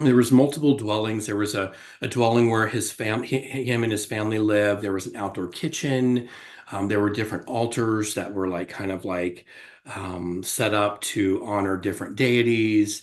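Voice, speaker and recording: Speaking at a moderate pace with an American accent, a man uses fairly even intonation at a fairly low pitch. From US South, Florida. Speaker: psychotherapist and healer. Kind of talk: interview testimony. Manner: halting, many fillers.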